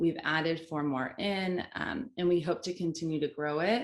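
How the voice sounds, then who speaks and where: This is a plain, everyday voice from a woman, pitched fairly low. She speaks fairly slowly with ordinary pitch variation. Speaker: social media manager. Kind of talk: panel discussion.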